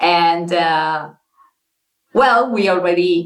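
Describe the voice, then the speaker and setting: A woman speaks very slowly at a fairly low pitch with ordinary pitch variation, with music in the background and audible room echo. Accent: non-native. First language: not English. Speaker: interview guest telling her dating story. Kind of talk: casual interview. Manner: halting, many fillers and restarts.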